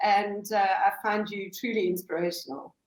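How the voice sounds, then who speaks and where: A woman is speaking. Her pace is moderate. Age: 50s. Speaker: account manager. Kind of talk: podcast interview answer.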